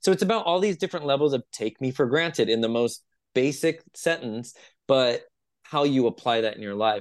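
A man speaks with a Californian accent. His intonation is lively. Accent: Californian American. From US West Coast, San Jose California. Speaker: spiritual coach and musician. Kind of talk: casual interview.

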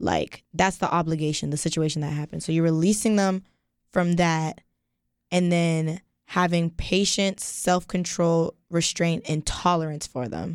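On a very clean recording with a silent background, a woman with a fairly low pitch speaks at a moderate pace. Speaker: student radio co-host. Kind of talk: casual chat. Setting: studio. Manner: animated.

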